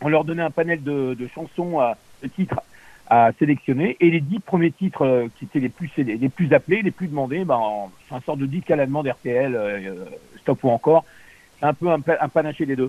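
With a dark, mellow tone and fairly high pitch, a man talks at a moderate pace with ordinary pitch variation and long, frequent pauses, the sound dry and close with no echo. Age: 60s. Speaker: former radio host and radio consultant. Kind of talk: interview. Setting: on air, radio. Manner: halting.

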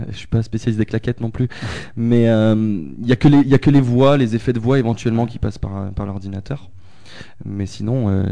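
This man's dark, mellow voice sits fairly low in pitch, with fairly even intonation and a moderate pace. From France, Haute-Loire. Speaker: guitarist and singer in a rock-electro band. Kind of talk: casual radio interview.

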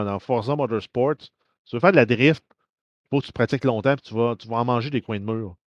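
With a Quebec accent, a man talks with ordinary pitch variation in a dry, close recording with no echo and a quiet background. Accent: Québécois French. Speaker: podcast co-host. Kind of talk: casual chat.

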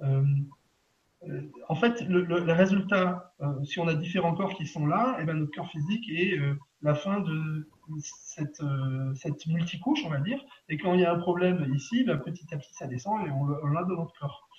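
A high-pitched man speaks with long, frequent pauses. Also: ordinary pitch variation, moderate pace. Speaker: energy healer. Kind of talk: guided session. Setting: live video stream. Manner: cheerful, laughing often.

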